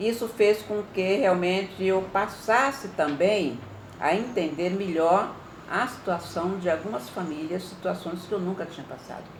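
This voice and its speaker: Her fairly low-pitched voice comes at a moderate pace from a woman in a room with audible echo. Noticeable background noise runs throughout. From Brazil, mainly Ribeirão Preto (São Paulo state) from youth. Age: 70s. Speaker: retired teacher and women's NGO president, activist. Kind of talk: interview testimony.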